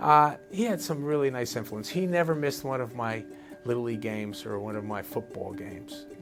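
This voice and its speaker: A man with a New Jersey accent talks at a fairly quick pace with lively intonation while music plays in the background. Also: medium pitch for a man. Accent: New Jersey American English. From New Jersey, USA. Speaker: architect and urban planner. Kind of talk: interview answer.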